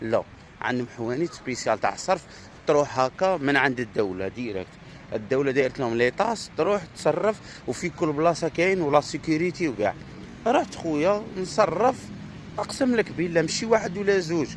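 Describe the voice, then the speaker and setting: A man with an Algerian accent at a fairly high pitch, very wide pitch swings, and noticeable background noise. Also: moderate pace. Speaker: Algerian visitor vlogger. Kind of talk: casual vlog monologue. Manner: animated.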